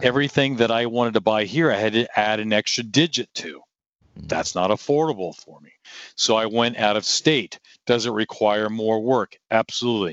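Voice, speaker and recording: A man with a normal speaking voice talks at a moderate pace and medium pitch, with ordinary pitch variation and big swings in loudness. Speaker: real estate investor and martial arts school owner. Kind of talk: interview.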